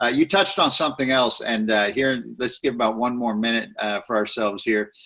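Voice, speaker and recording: Medium in pitch with ordinary pitch variation, a man uses an ordinary speaking voice in an American accent. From Texas. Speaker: interviewer and business coach. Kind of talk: interview.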